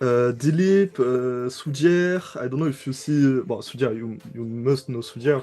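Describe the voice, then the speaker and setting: With a French accent, a man talks at a fairly slow pace with hardly any pauses, his medium pitch showing ordinary variation. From France. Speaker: music producer. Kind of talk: interview. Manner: halting, many fillers.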